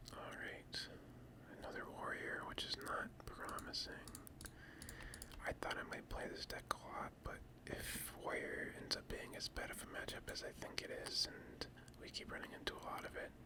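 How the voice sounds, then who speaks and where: Whispering at a moderate pace, with noticeable background noise. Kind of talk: whispered ASMR gaming commentary. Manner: whispered.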